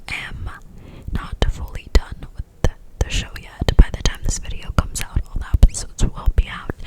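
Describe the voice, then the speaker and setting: A woman whispering at a moderate pace, with long, frequent pauses, big swings in loudness and noticeable background noise. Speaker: ASMR creator. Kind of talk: casual talk to camera, ASMR ramble. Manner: whispered, soft-spoken.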